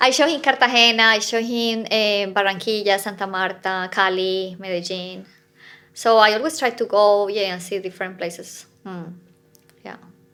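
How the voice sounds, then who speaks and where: On a very clean recording with a silent background, a woman with a bright, sharp tone and medium pitch speaks at a moderate pace with big swings in loudness. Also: ordinary pitch variation. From Colombia. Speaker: fitness coach. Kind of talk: casual chat.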